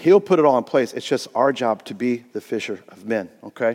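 Here a man speaks with an American accent. His intonation is lively. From US Midwest, Indiana. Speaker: pastor. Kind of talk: sermon. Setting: church. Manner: casual, animated.

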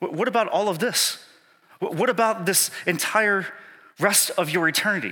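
A man's raised, projected voice at a high pitch, with very even loudness, a moderate pace and ordinary pitch variation. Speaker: pastor. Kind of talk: sermon. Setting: church. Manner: animated.

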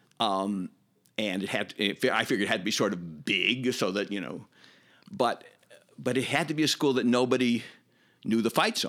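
With a Chicago accent, a man of medium pitch speaks at a moderate pace with lively intonation and long, frequent pauses. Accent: Chicago American. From US Midwest, Chicago. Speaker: former summer camp camper and counselor. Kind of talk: casual interview reminiscence. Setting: in-person studio interview. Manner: halting, repeats words.

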